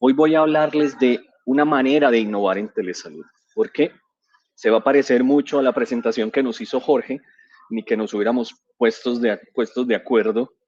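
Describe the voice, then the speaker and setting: Delivered at a moderate pace with ordinary pitch variation, the speech has a dry, close sound with no echo. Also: man, medium pitch for a man. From Colombia, San Andrés island, raised in Medellín. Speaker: physician and digital transformation director, conference speaker. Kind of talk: conference presentation. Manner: hesitant, with fillers and repetitions.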